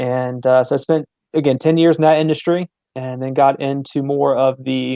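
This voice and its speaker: In a dry, close sound with no echo, a man with an American accent speaks in a dark, mellow tone with monotone, flat intonation. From Virginia. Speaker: sports facility general manager. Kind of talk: interview. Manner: hesitant, many fillers.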